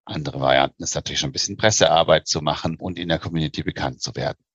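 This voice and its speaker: A man with vocal fry, a very fast pace and ordinary pitch variation. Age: 40s. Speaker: investment banker. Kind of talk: interview.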